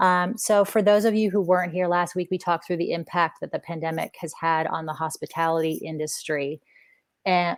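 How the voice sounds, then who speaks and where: A woman with an American accent talks at a fairly quick pace in a plain, everyday voice. Her pitch sits fairly low, and her intonation stays fairly even. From US, Washington DC area. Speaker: clinical psychologist. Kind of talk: webinar presentation. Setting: online webinar.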